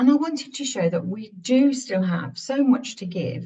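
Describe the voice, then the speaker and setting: A woman speaks with lively intonation in a dark, mellow tone. Her voice is somewhat breathy. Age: 60s. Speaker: author. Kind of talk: interview. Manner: halting.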